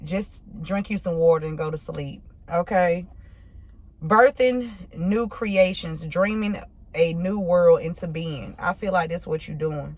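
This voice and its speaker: A woman speaks in a fairly low, somewhat breathy voice. Her pitch varies normally, but her loudness swings widely. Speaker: tarot reader. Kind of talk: tarot reading. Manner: casual, halting; slurred words.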